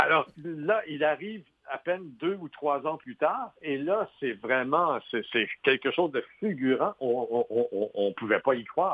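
Very slow speech with very wide pitch swings, in a Quebec accent. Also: man, fairly high pitch for a man. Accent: Québécois French. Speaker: film critic and author. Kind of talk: interview.

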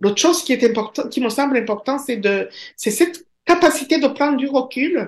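A woman with a Rwandan accent speaks at a high pitch. Her pace is moderate and her pitch variation ordinary. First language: Kinyarwanda (speaking French). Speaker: professor. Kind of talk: interview.

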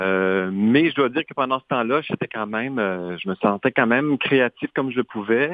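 This plain, everyday voice moves at a moderate pace with ordinary pitch variation and hardly any pauses. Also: man, medium pitch for a man. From Saskatchewan, Canadian prairies. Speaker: dancer and choreographer. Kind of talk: radio interview.

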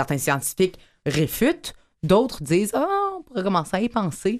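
A woman with a Quebec accent at a moderate pace. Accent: Québécois French. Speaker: radio host. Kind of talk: radio magazine show.

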